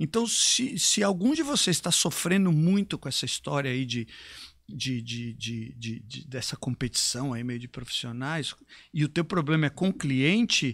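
A man talks in a plain, everyday voice with lively intonation. The recording is very clean, with a silent background. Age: 50s. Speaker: fitness trainer and business mentor. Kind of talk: live stream conversation.

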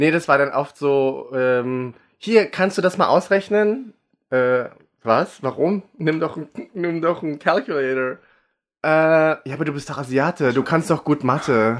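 Over a quiet background, a man with a normal speaking voice and a fairly high pitch uses ordinary pitch variation. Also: fairly slow pace. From Germany, raised from age five, born in the Philippines. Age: 30s. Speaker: drag artist. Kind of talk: casual chat.

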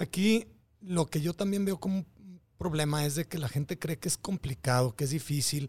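A man's fairly high voice at a moderate pace with ordinary pitch variation, dry and close with no echo, very cleanly recorded against a silent background. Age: 40s. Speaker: biohacker and fitness trainer. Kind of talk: casual interview. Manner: halting, repeats words.

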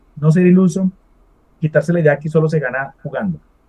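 A man's fairly high pitch with a dark, mellow tone. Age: 40s. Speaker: esports event organizer. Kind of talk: interview.

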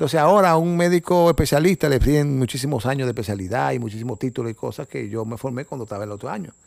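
The speaker rushes at a very fast pace with hardly any pauses and lively intonation, on a very clean recording with a silent background. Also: man, medium pitch for a man. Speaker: cardiologist and nature photographer. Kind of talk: casual interview. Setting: guest's home. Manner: halting.

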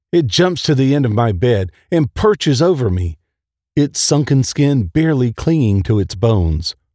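The recording has a quiet background. Lively intonation runs through a natural reading voice.

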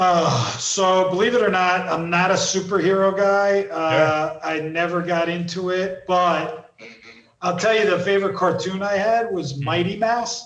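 A man with a New Jersey accent speaks at a fairly slow pace in a high pitch, keeping his intonation fairly even. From US East Coast, New Jersey. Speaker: entrepreneur and author. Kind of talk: casual interview.

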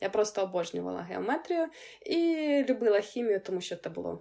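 This woman has a dark, mellow tone at a fairly high pitch and speaks at a fairly quick pace. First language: Ukrainian.

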